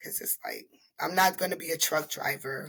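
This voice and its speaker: This woman's voice has a bright, sharp tone and a slight Panamanian accent. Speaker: beautician and entrepreneur. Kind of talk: casual interview chat. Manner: halting.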